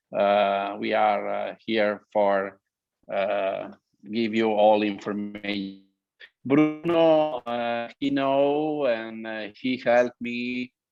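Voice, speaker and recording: With music in the background, a man speaks at a medium pitch. His pace is very slow and his pitch varies in an ordinary way. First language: Italian or Slovenian. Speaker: winemaker. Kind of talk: presentation to wine trade. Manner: halting, many fillers.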